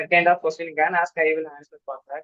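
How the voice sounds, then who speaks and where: This man speaks with a South Indian accent and a high pitch. His pace is fairly quick. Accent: South Indian accent, slightly regional. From Tamil Nadu, India (Tirunelveli district). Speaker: student job candidate. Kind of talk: sharing interview experience. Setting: video call. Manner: halting.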